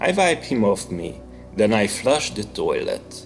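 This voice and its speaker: A man with a Hungarian accent speaks at a very slow pace over music in the background. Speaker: author. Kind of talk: horror story reading.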